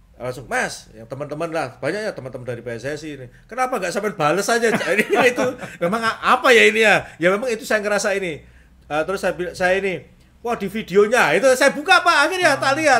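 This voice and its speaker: A man speaks in a raised, projected voice at a high pitch and a very fast pace. His pitch swings very widely and his loudness swings a lot. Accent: strong Surabaya. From East Java, Indonesia (Nganjuk, raised in Surabaya). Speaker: police officer and national football team manager. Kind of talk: podcast interview. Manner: halting.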